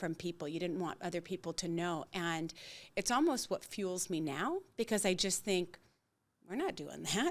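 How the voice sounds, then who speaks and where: In a very clean recording with a silent background, a woman with a normal speaking voice talks at a moderate pace in a fairly low pitch. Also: ordinary pitch variation. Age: 60s. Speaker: integrative coach sharing personal story. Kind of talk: podcast interview, personal testimony.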